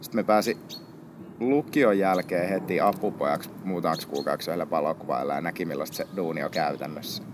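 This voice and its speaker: Noticeable background noise sits behind a man with a very deep, low pitch. He speaks at a fairly quick pace with lively intonation. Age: 20s. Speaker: photographer. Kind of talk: interview. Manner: casual.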